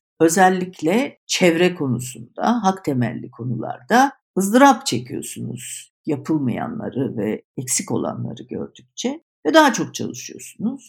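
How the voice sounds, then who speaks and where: Over a very clean recording with a silent background, a woman with vocal fry and a fairly low pitch speaks at a fairly slow pace with very wide pitch swings and hardly any pauses. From Istanbul, Turkey. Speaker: communications agency founder. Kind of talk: interview.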